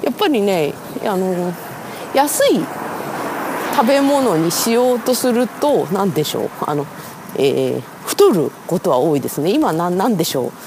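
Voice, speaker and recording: The speech moves at a fairly slow pace with long, frequent pauses. Noticeable background noise runs underneath. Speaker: writer and editor podcaster. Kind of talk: solo walking monologue. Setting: outdoors walking in the street. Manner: casual, many fillers; self-mocking polite.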